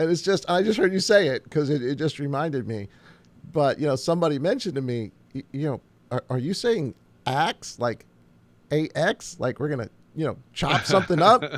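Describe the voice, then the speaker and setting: Speaking at a fairly quick pace, a man with a Long Island accent uses a fairly high pitch and lively intonation. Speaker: pastor. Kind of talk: casual chat.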